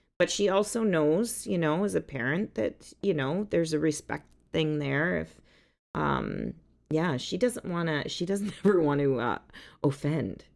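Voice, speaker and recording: A woman's very deep, low voice with vocal fry and lively intonation at a fairly slow pace, in a very clean recording with a silent background. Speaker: songwriter. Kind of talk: casual chat. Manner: loud.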